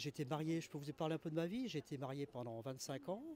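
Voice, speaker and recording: A man is talking here. The tone of his voice is dark and mellow. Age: 60s. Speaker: interviewee on the street. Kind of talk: street interview. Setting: outdoors on a terrace. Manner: hesitant, many fillers.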